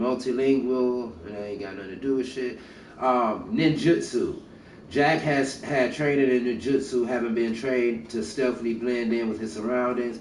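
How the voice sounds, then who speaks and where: A man with a medium-pitched voice talks at a moderate pace and with fairly even intonation, and the room echo is audible. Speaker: gaming streamer. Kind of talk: reading aloud with commentary. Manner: halting, stumbling over words.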